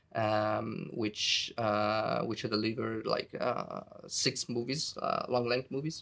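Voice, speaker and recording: The speaker talks at a moderate pace with an Italian accent. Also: man. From Italy. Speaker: video game lighting artist. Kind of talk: interview. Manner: halting, many fillers.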